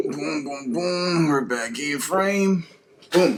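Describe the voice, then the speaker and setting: A man speaks fairly slowly against noticeable background noise. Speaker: sneaker vlogger. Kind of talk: casual unboxing vlog.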